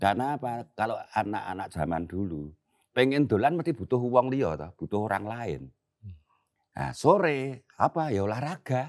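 Against a quiet background, a man speaks at medium pitch and a moderate pace. His pitch swings very widely and his loudness varies greatly. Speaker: veteran theater actor and comedian. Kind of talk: casual interview chat. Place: garden.

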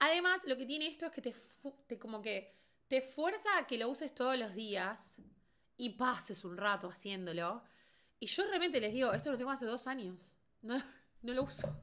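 A woman with a Rioplatense accent speaks at a moderate pace in a bright, sharp, high voice with very wide pitch swings and long, frequent pauses, over a quiet background. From Argentina. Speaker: beauty content creator. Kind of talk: casual livestream commentary. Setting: livestream. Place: home room.

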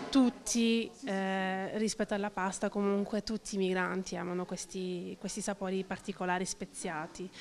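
A woman talks at a moderate pace with fairly even intonation. Light background noise can be heard. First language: French (speaking Italian). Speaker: cook at a soup kitchen, works with migrants. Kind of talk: interview. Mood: cheerful, smiling. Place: hall. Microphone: handheld.

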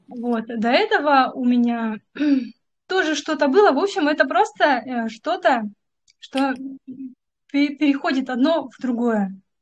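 A woman speaks at a high pitch with lively intonation and big swings in loudness. Long, frequent pauses break up her speech. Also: fairly slow pace. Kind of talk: personal account on a video call. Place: home room. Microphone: video call.

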